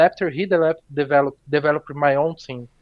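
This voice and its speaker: A man with a Portuguese accent speaks in a fairly high voice. His intonation is monotone and flat. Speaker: esports player. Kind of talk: post-game interview.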